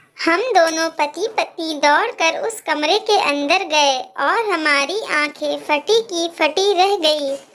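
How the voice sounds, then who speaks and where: Putting on a cartoonish character voice, a woman speaks at an extremely high pitch and a fairly slow pace. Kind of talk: animated horror story narration in first person.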